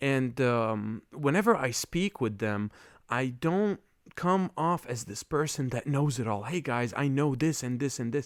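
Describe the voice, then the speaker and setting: A man with an Arabic accent speaks at medium pitch and a fairly slow pace, with lively intonation. The recording is very clean with a silent background. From Lebanon, Beirut. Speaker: podcast host. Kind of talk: casual monologue. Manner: halting, many fillers.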